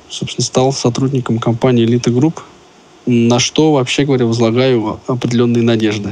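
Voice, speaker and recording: A man's medium-pitched voice competes with noticeable background noise. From Russia, Moscow. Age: 30s. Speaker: company employee, blind specialist. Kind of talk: interview.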